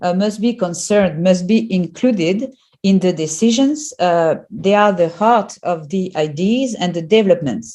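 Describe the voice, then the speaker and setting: A woman of medium pitch with a non-native accent, a dark, mellow tone, lively intonation, a moderate pace and hardly any pauses. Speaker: professor. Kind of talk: lecture. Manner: halting, many fillers.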